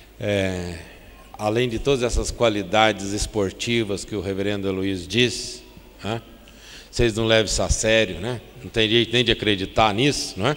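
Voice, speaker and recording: A man speaks with a fairly low pitch and fairly even intonation at a moderate pace. Noticeable background noise fills the recording. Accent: Minas Gerais. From Brazil, Triângulo Mineiro (Minas Gerais). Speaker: pastor. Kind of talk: sermon. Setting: church.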